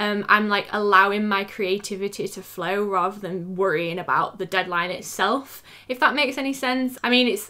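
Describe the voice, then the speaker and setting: In a very clean recording with a silent background, a woman with a British accent speaks at a moderate pace, her fairly high, bright, sharp voice showing ordinary pitch variation. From England. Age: 20s. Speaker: freelance graphic designer and YouTuber. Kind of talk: casual talk to camera.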